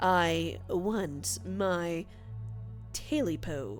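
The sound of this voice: A put-on character voice, hoarse and croaky, at a low-to-middle pitch, with clear music in the background.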